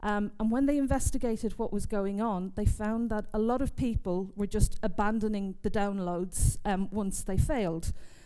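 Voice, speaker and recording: Delivered in an English accent with a dark, mellow tone and fairly even intonation. The pace is fairly slow, and there is audible room echo. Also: woman. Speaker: software testing speaker. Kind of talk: conference talk. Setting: stage with audience.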